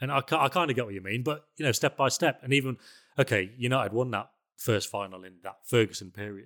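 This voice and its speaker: Speaking very fast at a medium pitch, a man shows ordinary pitch variation and big swings in loudness on a very clean recording with a silent background. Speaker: football journalist. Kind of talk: casual chat.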